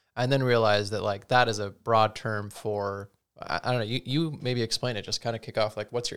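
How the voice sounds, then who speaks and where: In a very clean recording with a silent background, a man with an ordinary speaking voice talks at a fairly quick pace, his fairly low pitch held in fairly even intonation. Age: 30s. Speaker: podcast host, manages teams at work. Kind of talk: casual chat. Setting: video podcast recording.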